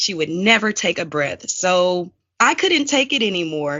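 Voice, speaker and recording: A woman's medium-pitched voice at a fairly slow pace, with a Southern US accent. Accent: Southern twang. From US South. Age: 30s. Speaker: court stenographer and captioner. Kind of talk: podcast interview.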